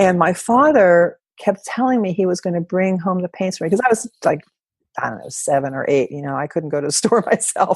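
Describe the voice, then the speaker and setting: Speaking at a fairly quick pace, a woman with a medium pitch uses lively intonation and big swings in loudness. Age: 60s. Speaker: artist and creativity teacher. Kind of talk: interview. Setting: podcast. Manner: halting.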